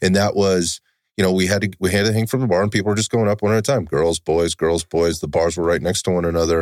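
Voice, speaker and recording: A man's very deep, low voice at a very fast pace, on a very clean recording with a silent background. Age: 50s. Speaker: podcast host. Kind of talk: casual chat. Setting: studio.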